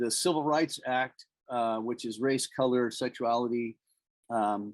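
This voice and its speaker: Dry and close with no echo, a man with a normal speaking voice talks at medium pitch, fairly slowly, with fairly even intonation. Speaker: small business owner and presenter. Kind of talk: informational presentation.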